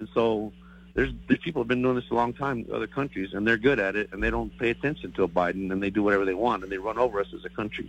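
A man talks at a very fast pace with a fairly low pitch and vocal fry. His intonation is lively. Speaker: caller. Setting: phone call.

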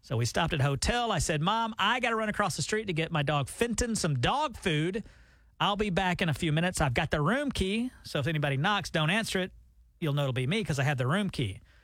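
At a very fast pace, a man with a Southern US accent talks in a high pitch with very wide pitch swings. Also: very even loudness. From US South. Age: middle-aged. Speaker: radio host. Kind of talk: casual chat. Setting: studio.

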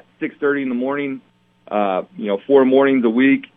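Fairly high in pitch with ordinary pitch variation, this man has an unremarkable speaking voice. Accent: American. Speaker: high school football coach. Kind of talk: sports interview.

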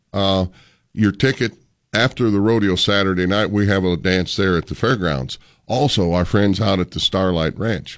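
An animated man with an American accent and a fairly low pitch, at a moderate pace with ordinary pitch variation, on a very clean recording with a silent background. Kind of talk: radio promo chat, upbeat on-air banter promoting a rodeo. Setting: radio studio, live interview. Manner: animated, folksy and jovial, with cowboy-themed showmanship.

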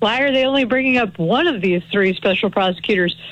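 Against a quiet background, a woman with an ordinary speaking voice talks at a fairly high pitch with ordinary pitch variation. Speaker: criminal defense attorney. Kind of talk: radio interview, legal commentary.

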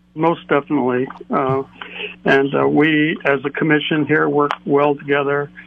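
Noticeable background noise sits behind a man with an American accent who speaks at a moderate pace in a monotone, flat intonation, his pitch fairly high and his loudness very even. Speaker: caller. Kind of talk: call-in comment. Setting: phone call.

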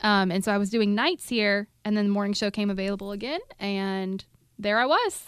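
At a fairly quick pace, a woman speaks in an ordinary speaking voice of medium pitch with fairly even intonation. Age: 30s. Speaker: radio host. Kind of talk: casual chat.

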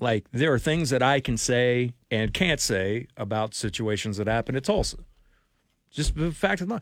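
A man with a plain, everyday voice and medium pitch talks at a moderate pace with lively intonation. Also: very clean recording, silent background. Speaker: radio sports talk host. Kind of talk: radio dj patter: promo read for a text-to-win giveaway, then bantering with co-host. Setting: radio studio. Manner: brisk, upbeat, promo-reading, good-natured.

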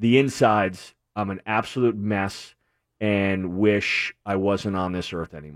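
A man with an American accent speaks in a normal speaking voice, pitched fairly low. His pitch varies in an ordinary way over a very clean recording with a silent background. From New England, Connecticut. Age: 30s. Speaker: recovering addict. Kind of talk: testimony.

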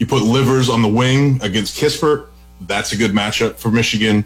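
Delivered at a very fast pace with ordinary pitch variation, the speech plays over music in the background. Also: man. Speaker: college basketball analyst. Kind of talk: sports analysis discussion.

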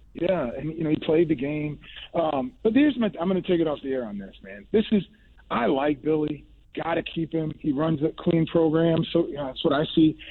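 A man speaks in an ordinary speaking voice, pitched fairly high. His intonation is lively and his pace fairly quick. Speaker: caller. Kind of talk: casual chat. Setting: phone call.

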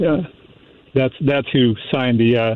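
A man talks at medium pitch and a moderate pace, his intonation fairly even. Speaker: caller. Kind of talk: call-in talk radio discussion. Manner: sarcastic; halting with many fillers.

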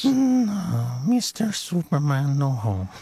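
Put-on character voice in a low-to-middle pitch.

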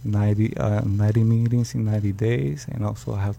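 In a Puerto Rican accent, the speaker has a dark, mellow tone that is somewhat breathy. Intonation is lively and the pace fairly slow. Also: man. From Puerto Rico. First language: Spanish. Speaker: rescue mission program graduate. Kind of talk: testimony. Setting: radio studio.

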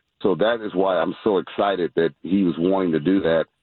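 At a moderate pace, a man speaks in an ordinary speaking voice with a fairly low pitch. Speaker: youth basketball organization governor. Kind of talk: radio interview.

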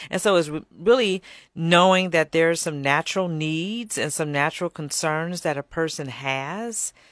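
Recorded dry and close with no echo, a woman with an American accent and an ordinary speaking voice talks at a moderate pace, her fairly low pitch carrying ordinary pitch variation. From Chicago area, south suburbs. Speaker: nonprofit executive director. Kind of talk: radio interview.

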